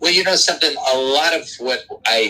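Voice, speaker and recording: Music plays in the background as a man with a New York accent speaks at a moderate pace. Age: 70s. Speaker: doo-wop singer. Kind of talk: interview. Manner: halting.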